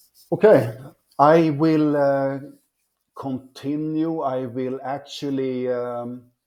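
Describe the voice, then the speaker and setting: Very slowly and with fairly even intonation, a man with a non-native accent speaks in a dark, mellow tone. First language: not English. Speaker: forex trading teacher. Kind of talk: tutorial. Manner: halting, many fillers.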